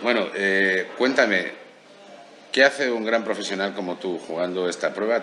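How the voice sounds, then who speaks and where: This man has a fairly low pitch and ordinary pitch variation. He goes at a moderate pace, with light background noise behind him. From Spain. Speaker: golf show host. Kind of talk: interview. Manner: animated. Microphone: handheld.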